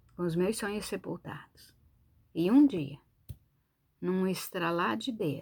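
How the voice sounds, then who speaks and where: In a very clean recording with a silent background, a woman with a fairly low pitch speaks very slowly and with lively intonation. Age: 60s. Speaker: preacher. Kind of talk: sermon. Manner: animated.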